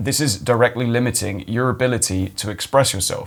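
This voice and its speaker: A man's put-on character voice, guttural and medium in pitch, at a fairly quick pace. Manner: constricted.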